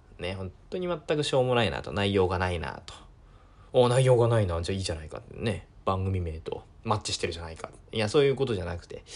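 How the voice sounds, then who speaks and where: A man talks at a fairly quick pace with lively intonation. His fairly low voice is somewhat breathy. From Japan, Miyagi (Sendai). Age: 20s. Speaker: podcast host. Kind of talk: casual solo talk. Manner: hesitant, many fillers.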